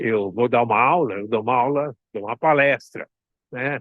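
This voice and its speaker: At a fairly slow pace, a man talks in a plain, everyday voice. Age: 60s. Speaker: consultant and mentor. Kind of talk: online talk. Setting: outdoors at the beach.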